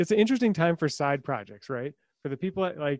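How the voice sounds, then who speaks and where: Against a quiet background, a man speaks in a playful tone at a fairly quick pace with ordinary pitch variation, the sound dry and close with no echo. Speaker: podcast co-host. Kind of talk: casual interview chat. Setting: remote recording. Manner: joking, playful.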